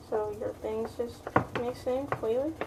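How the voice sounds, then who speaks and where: A woman's high-pitched, monotone voice with flat intonation at a moderate pace, over noticeable background noise. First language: not English. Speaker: cooking video creator. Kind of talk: casual cooking tutorial. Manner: casual, halting with restarts.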